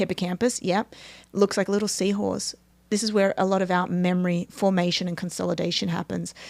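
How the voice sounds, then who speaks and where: A woman with an Australian accent talks at a fairly quick pace and medium pitch in a monotone, flat intonation, recorded very cleanly over a silent background. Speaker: neuroscience performance coach. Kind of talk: interview explanation.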